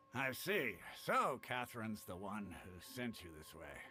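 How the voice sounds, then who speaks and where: In a put-on character voice with an amused tone, a man speaks at medium pitch. His loudness swings widely and his pace is moderate. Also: lively intonation. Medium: video game. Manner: easygoing, amused.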